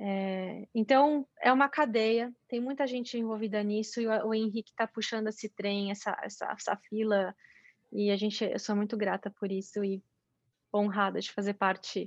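Against a quiet background, a woman speaks in an ordinary speaking voice at a moderate pace. Her pitch is fairly high, her intonation fairly even, and the sound dry and close with no echo. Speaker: mountain bike athlete and sports commentator. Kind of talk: interview.

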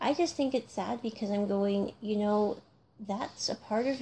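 Against a quiet background, a woman with an American accent speaks at a fairly high pitch with ordinary variation, her tone dark and mellow and somewhat breathy. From North America (US or Canada). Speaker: podcast host, music reviewer. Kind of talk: solo casual commentary.

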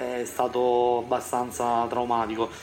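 A man speaks at a medium pitch. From Sicily, Siracusa. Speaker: civil engineer. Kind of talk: interview testimony. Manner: halting.

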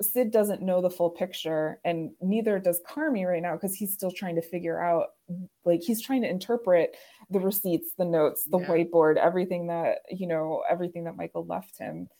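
With an American accent, a woman speaks at a medium pitch in a dark, mellow tone, with fairly even intonation. Her fairly quick delivery comes through on a very clean recording with a silent background. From Chicago suburbs. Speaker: podcast host. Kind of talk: casual chat.

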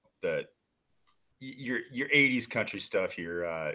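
A man with an American accent at a fairly slow pace, with lively intonation. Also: very clean recording, silent background. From Iowa, US Midwest. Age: 40s. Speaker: sports podcaster. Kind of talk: casual chat. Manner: halting, many fillers.

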